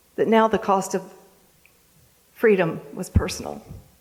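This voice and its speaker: A monotone voice with flat intonation, in an American accent. The pace is fairly slow. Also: woman. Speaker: Gold Star mother and national speaker. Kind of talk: motivational speech to live audience.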